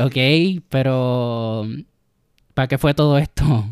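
The voice has ordinary pitch variation, recorded very cleanly against a silent background with a dry, close sound and no echo. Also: man. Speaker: podcast guest, film fan. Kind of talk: casual chat. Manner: shy at first.

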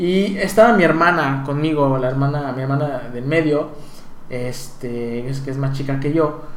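A man with a Mexico City accent, fairly high-pitched, at a fairly slow pace, with audible room echo and noticeable background noise. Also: ordinary pitch variation. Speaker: podcast co-host. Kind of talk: casual chat.

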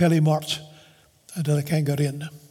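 Over noticeable background noise, a man speaks at a fairly high pitch in a monotone, flat intonation. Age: 70s. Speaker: pastor. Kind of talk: sermon.

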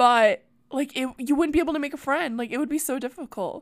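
The voice has an animated tone in a very clean recording with a silent background. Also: woman. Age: 20s. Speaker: comedy podcast host. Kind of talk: casual chat.

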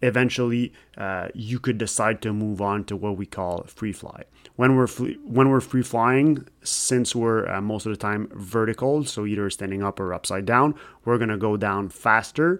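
A man with a Quebec accent at a medium pitch and moderate pace, with ordinary pitch variation, in a very clean recording with a silent background. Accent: Québécois French accent in English. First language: French. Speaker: podcast host, skydiver. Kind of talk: casual chat; scripted narration.

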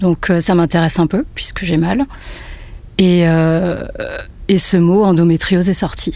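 A woman with a fairly low pitch and fairly even intonation speaks over noticeable background noise. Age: 30s. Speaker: photographer. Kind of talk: testimony. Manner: halting.

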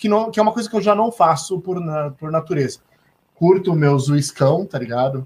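This man talks at a moderate pace with a high pitch and lively intonation. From São Paulo coast, Brazil (Santos). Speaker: talk show host. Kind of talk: casual chat. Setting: live stream video call.

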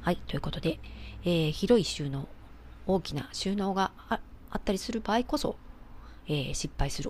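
A woman speaks at a fairly quick pace. Her speech has long, frequent pauses. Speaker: architect and home organizing expert, podcast host. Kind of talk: solo podcast talk.

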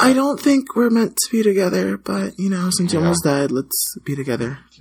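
Putting on a character voice, a man speaks high and creaky at a fairly quick pace. His pitch swings very widely.

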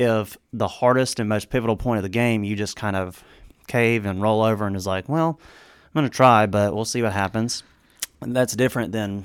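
Spoken at a moderate pace with fairly even intonation, this is a plain, everyday voice. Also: man. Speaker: co-host of a Bible discussion podcast. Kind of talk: casual Bible study discussion.

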